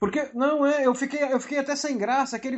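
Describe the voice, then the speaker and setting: A man talks fairly quickly, his tone animated. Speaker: podcast co-host on writing. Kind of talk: casual chat. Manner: loud.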